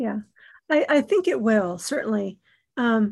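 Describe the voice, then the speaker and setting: On a very clean recording with a silent background, a woman sounds somewhat breathy at a fairly high pitch. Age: 50s. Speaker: podcast host. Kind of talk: casual interview.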